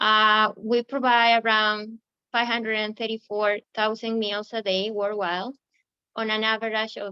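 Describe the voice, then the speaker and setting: At a fairly slow pace, a woman with an Ecuadorian accent speaks in a fairly high, monotone, flat voice. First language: Spanish. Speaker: recruiting manager. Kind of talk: webinar presentation. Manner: halting, many fillers.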